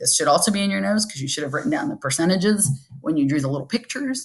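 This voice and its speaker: A woman speaks with lively intonation and a somewhat breathy quality. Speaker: high school forensics teacher. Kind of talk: recorded lesson review.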